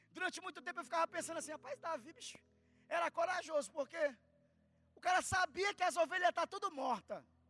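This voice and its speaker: A man speaks very fast in a raised, projected voice with an extremely high pitch, a bright, sharp and animated tone, and ordinary pitch variation, in a dry, close sound with no echo. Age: 30s. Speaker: preacher. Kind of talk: sermon. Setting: church.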